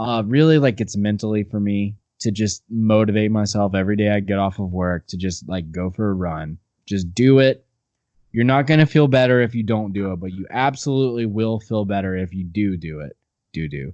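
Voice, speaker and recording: Against a quiet background, a man speaks at a fairly quick pace. His pitch is fairly low and his tone dark and mellow. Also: ordinary pitch variation. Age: 20s. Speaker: musician in a band. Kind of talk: casual interview chat. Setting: remote video call. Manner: animated.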